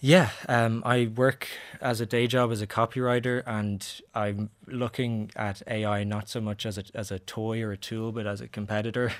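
Speaking in a Dublin accent, a man delivers his words at a moderate pace with a medium pitch and monotone, flat intonation. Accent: Dublin Irish. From Ireland. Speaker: short story writer. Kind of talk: interview. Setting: studio.

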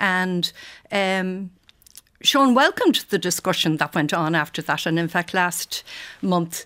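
In a very clean recording with a silent background, a woman with an Irish accent talks at a medium pitch with ordinary pitch variation. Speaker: fashion journalist. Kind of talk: radio interview. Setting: studio.

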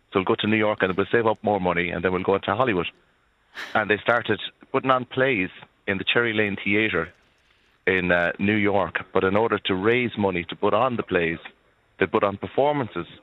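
A man's fairly low voice with an Irish accent, fairly quick pace, ordinary pitch variation and long, frequent pauses. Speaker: folk musician caller. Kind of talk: radio phone-in. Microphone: good line.

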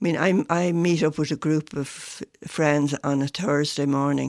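A woman speaks with a Dublin accent in a very deep, low register, her intonation fairly even. The sound is dry and close, with no echo. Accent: Dublin Irish. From Ireland, Dublin (Foxrock). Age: 70s. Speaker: runner with Parkinson's. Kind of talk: radio interview. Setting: radio studio.

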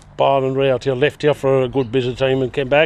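A man speaks with a Limerick accent at a fairly high pitch. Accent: Irish (Limerick). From Kilmallock, Co. Limerick. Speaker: community volunteer. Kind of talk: casual chat.

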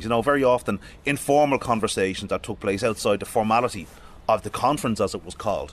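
Very fast and with lively intonation, a man with an Irish accent talks at a medium pitch. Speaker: historian. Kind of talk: guided exhibition tour.

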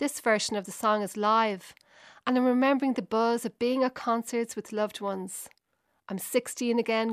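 In a Dublin accent, a woman speaks with fairly even intonation, the sound dry and close with no echo. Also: very clean recording, silent background. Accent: Dublin Irish. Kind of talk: scripted narration.

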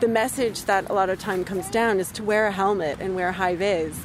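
Noticeable background noise behind a woman speaking with an American accent. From US suburbs. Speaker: parent, environmental sector worker. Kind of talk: interview.

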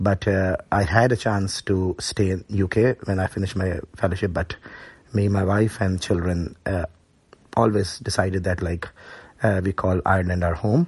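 This man has a very deep, low voice, somewhat breathy, and talks at a moderate pace with fairly even intonation. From Pakistan, Karachi. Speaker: paediatrician. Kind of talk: interview.

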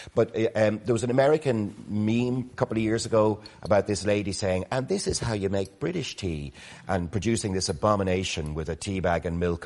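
A man with an Irish accent, fairly low in pitch, at a fairly quick pace with ordinary pitch variation, against a quiet background. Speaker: motoring organisation CEO, panellist. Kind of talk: casual chat. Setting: studio.

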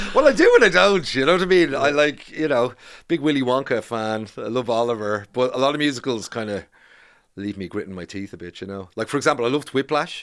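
Over a quiet background, a man with a Dublin accent talks very fast at a medium pitch, with lively intonation and big swings in loudness. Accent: Irish, Dublin area. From Ireland, Bray, County Wicklow. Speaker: documentary filmmaker. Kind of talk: interview.

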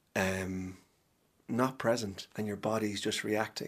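This man has an Ulster accent and a fairly low pitch. His intonation stays monotone and flat. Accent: Ulster Irish (Cavan). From Ireland, Cavan town. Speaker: actor. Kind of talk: casual chat. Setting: studio.

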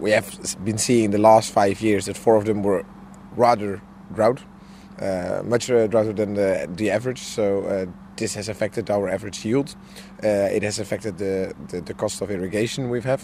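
A man with a Dutch accent speaks at a moderate pace with a fairly low pitch. His intonation is fairly even, and he takes long, frequent pauses. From Netherlands. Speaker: farmer. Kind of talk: interview. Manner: halting.

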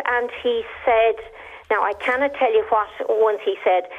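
A woman with an Irish accent, high-pitched, at a fairly slow pace with ordinary pitch variation. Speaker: caller. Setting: phone call.

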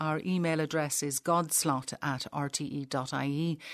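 In an Irish accent, a woman speaks with a very deep, low pitch. Her pitch varies in an ordinary way, and the background is quiet. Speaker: radio host. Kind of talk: interview.

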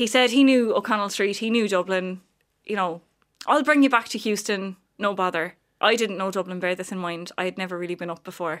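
A woman speaks at a fairly quick pace. Her pitch sits in the medium range, with ordinary variation. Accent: Cork. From Ireland, County Cork. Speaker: visually impaired advocate. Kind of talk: radio interview. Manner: animated.

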